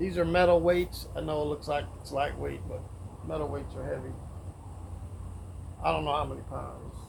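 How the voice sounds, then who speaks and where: Amid audible room echo, a man speaks at a moderate pace with long, frequent pauses. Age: 60s. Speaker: fitness vlogger. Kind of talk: casual workout vlog. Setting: outdoors, backyard. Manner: casual, halting.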